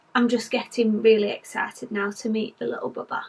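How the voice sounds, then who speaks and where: A woman talks with a British accent. Her pitch is fairly high and her pace moderate. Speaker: vlogger. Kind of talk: vlog update. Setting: indoors at home, nursery.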